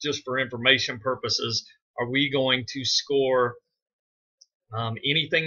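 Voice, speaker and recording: The pace of this man's speech is fairly slow. His pitch sits fairly high. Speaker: school administrator. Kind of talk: screen-recorded tutorial. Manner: hesitant with frequent fillers.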